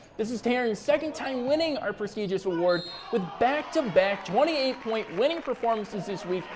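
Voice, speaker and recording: Upbeat and energetic, a man with an American accent speaks at an extremely high pitch and a fairly quick pace with lively intonation over noticeable background noise. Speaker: local sports reporter and show host. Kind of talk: sports anchor / reporter reel. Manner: upbeat, energetic, punny.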